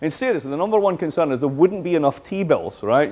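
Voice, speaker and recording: A man with a Scottish accent talks at a very fast pace with lively intonation over noticeable background noise. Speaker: professor. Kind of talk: lecture. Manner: animated.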